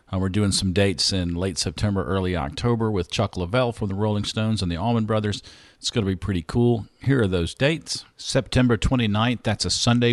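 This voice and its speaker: Against a quiet background, a man with a Southern US accent speaks at a fairly quick pace, his fairly low pitch showing ordinary variation. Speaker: podcast host and drummer. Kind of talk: podcast intro and sponsor reads. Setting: at a microphone.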